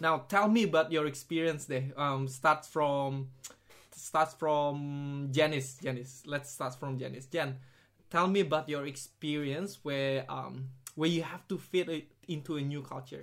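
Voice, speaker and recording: Using a normal speaking voice, a man with fairly high pitch and fairly even intonation speaks at a fairly slow pace on a very clean recording with a silent background. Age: young. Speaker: podcast host. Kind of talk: casual chat.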